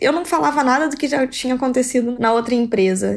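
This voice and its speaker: A woman speaks with a high pitch. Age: 20s. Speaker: engineer and master's student. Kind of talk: interview testimony.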